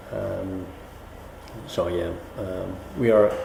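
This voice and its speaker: A man speaks with a Dutch accent. There is noticeable background noise and audible room echo. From Netherlands. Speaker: business professional interviewed. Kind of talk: interview answers. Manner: halting, many fillers.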